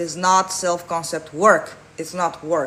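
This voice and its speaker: A woman's fairly low voice with a non-native accent, fairly even intonation and a very slow pace. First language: not English. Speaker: manifestation coach. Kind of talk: live Q&A answering chat. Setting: livestream.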